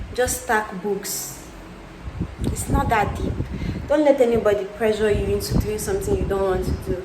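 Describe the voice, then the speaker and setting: A woman talks with long, frequent pauses. Noticeable background noise and audible room echo fill the recording. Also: moderate pace. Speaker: lifestyle vlogger. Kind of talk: tutorial. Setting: at home.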